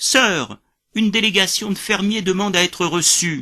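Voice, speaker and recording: Against a quiet background, a man puts on a high-pitched character voice. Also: moderate pace. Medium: read story. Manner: deferential, addresses his boss as sir.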